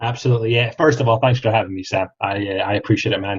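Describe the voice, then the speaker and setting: Speaking very fast in a Scottish accent, a man uses a medium pitch and fairly even intonation, his voice somewhat breathy. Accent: Scottish, often mistaken for Australian. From Scotland, Kirriemuir near Dundee. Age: 30s. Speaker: franchise sales specialist. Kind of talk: podcast interview. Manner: hesitant, many fillers.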